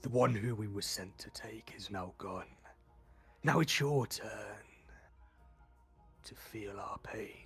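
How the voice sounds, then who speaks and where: Quietly and at a fairly slow pace, a man puts on a character voice with long, frequent pauses while music plays in the background. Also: medium pitch for a man. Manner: chuckling, menacing.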